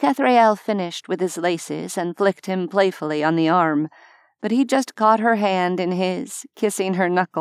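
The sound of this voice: Usual rises and falls in pitch across an unforced reading voice.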